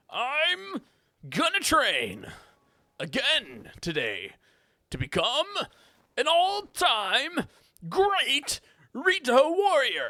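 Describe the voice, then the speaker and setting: A put-on character voice, high-pitched and raised to project, moves at a very slow pace. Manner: awful, put-on.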